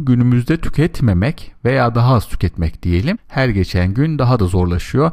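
On a very clean recording with a silent background, an ordinary speaking voice carries lively intonation at a moderate pace. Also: man. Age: 40s. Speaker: podcast host, money advisor. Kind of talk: solo monologue.

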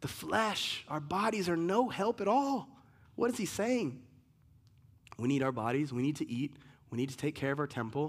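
A man's pitch swings very widely, and he takes long, frequent pauses. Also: fairly high pitch for a man, moderate pace. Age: 40s. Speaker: pastor. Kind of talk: sermon.

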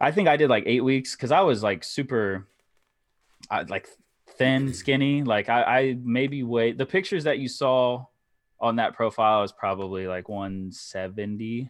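Speaking at a moderate pace, a man uses an ordinary speaking voice at a medium pitch. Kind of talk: casual chat. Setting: video call.

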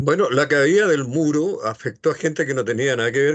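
In a Chilean accent, a man with a fairly high pitch talks at a fairly quick pace over a quiet background, his pitch varying an ordinary amount. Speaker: radio host. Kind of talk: radio interview.

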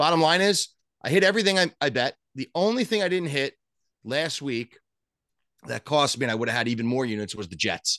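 A man with a New York accent at a fairly quick pace and fairly high pitch, bright, sharp tone, very wide pitch swings, dry, close sound with no echo, and a quiet background. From Long Island, New York. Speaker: sports betting podcast co-host. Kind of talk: casual chat. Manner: animated.

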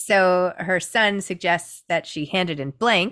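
In a very clean recording with a silent background, a woman uses a normal speaking voice at medium pitch with ordinary pitch variation. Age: 40s. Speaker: author and book influencer. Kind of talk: interview.

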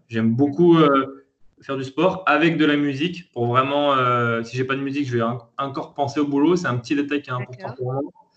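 A man speaks at a medium pitch and a fairly quick pace. His intonation is fairly even. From France, Lyon. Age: 30s. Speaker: entrepreneur. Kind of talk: interview. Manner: hesitant, many fillers.

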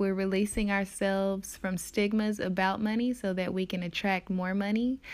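Here is a woman with an unremarkable speaking voice, at a medium pitch and moderate pace. The recording is very clean, with a silent background. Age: 20s. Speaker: podcast host and yoga teacher. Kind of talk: solo podcast monologue. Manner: casual, conversational.

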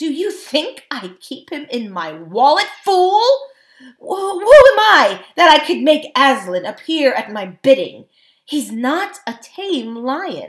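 A woman uses a put-on character voice, high in pitch with big pitch swings. She speaks at a slow pace.

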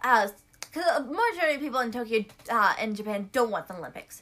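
The woman talks fairly quickly, and noticeable background noise can be heard. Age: 20s. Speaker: podcast co-host. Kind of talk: casual chat.

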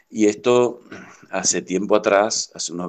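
In a quiet background, a man speaks at a very slow pace with ordinary pitch variation. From Chaco, Argentina (Villa Ángela). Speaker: industrial technician, community water project worker. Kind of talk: interview. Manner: halting.

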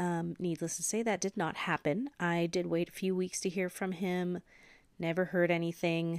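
A plain, everyday voice with an American accent moves at a moderate pace. The sound is dry and close with no echo, on a very clean recording with a silent background. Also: woman. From US Pacific Northwest, Washington State. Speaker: esthetician and podcast host. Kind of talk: solo podcast monologue.

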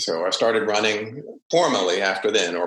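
Someone speaks in an American accent at a moderate pace. The room echo is audible. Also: man. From US South, Savannah, Georgia. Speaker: runner. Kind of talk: casual interview.

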